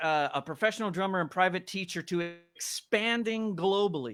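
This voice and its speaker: At a moderate pace, a man talks with a high pitch. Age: 40s. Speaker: drum company brand manager and drummer. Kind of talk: casual interview chat. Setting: live online stream.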